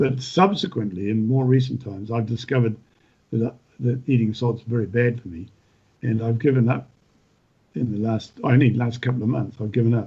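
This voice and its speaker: Somewhat breathy and dark, mellow in tone, a man talks at a fairly quick pace with medium pitch and ordinary pitch variation. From New Zealand, North Island. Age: 70s. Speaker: retired farmer and author. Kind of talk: podcast interview. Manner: halting, many repetitions.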